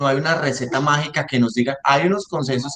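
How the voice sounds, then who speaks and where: With ordinary pitch variation, a man's fairly high voice races along at a very fast pace. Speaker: respiratory therapist in intensive care. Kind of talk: lecture.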